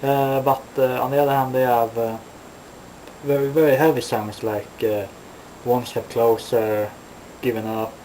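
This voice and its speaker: At a moderate pace with long, frequent pauses, a man of medium pitch talks with fairly even intonation over noticeable background noise. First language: not English. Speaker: metal vlogger. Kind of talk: casual vlog monologue. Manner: halting, many fillers.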